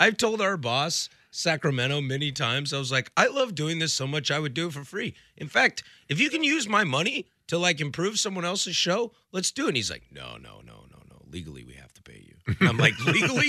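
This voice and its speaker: On a very clean recording with a silent background, a man with a fairly high pitch speaks at a fairly quick pace in a bright, sharp tone with vocal fry and big swings in loudness. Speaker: sports radio co-host. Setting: radio studio booth. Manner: casual, joking banter.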